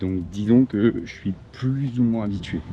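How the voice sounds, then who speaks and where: A man's voice with ordinary pitch variation. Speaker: travel vlogger. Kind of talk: casual vlog narration. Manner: hesitant, many fillers; loud.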